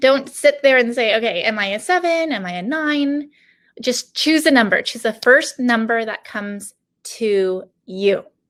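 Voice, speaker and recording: A woman talks at a fairly slow pace in an ordinary speaking voice. Her pitch is fairly high and her intonation lively. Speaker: business coach. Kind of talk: online workshop. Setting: online video session from home.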